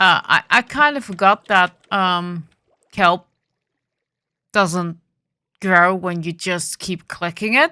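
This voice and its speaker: A woman at medium pitch with a bright, sharp tone, a very slow pace, long and frequent pauses and ordinary pitch variation, on a very clean recording with a silent background. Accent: Dutch. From Netherlands. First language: Dutch. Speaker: gaming video creator. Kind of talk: gameplay commentary. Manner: hesitant with fillers.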